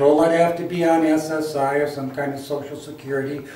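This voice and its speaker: The speech is fairly slow and monotone, with flat intonation, audible room echo and noticeable background noise. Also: man. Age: 60s. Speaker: health enthusiast sharing personal story. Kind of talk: personal testimony to camera. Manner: halting, with many fillers.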